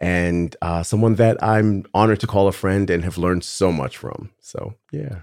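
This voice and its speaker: Moderate pace from a normal speaking voice, captured in a very clean recording with a silent background. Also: man. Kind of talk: casual interview chat.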